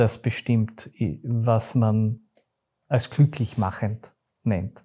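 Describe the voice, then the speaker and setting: Dark and mellow in tone, a man's somewhat breathy voice moves at a very slow pace. The recording is very clean, with a silent background. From Austria, Graz (Styria). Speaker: theatre company managing director. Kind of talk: interview.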